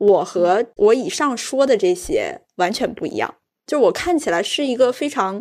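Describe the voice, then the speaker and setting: In a very clean recording with a silent background, a woman with a slight northeastern Chinese accent speaks at a moderate pace and a high pitch, her pitch swinging very widely. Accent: slight northeastern Mandarin. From Jilin, Changchun. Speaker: podcast host. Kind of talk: casual chat.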